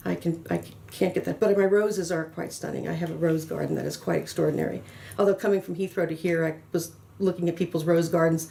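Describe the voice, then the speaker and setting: Fairly low in pitch, a woman with an American accent speaks at a very fast pace. Her dark, mellow tone carries vocal fry. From US South, New Orleans, Louisiana. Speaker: pharmaceutical consultant and trainer. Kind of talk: interview. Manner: frequent fillers and repetitions; animated.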